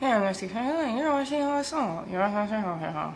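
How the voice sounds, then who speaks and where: Putting on a character voice, a woman mumbles at a moderate pace, her fairly high pitch making very wide swings over clear background noise. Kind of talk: video host intro. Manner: mumbling.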